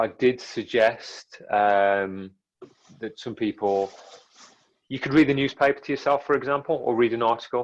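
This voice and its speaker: This man has an English Midlands accent and a medium pitch. He talks at a moderate pace. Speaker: filmmaker. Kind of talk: interview. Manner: fairly monotone.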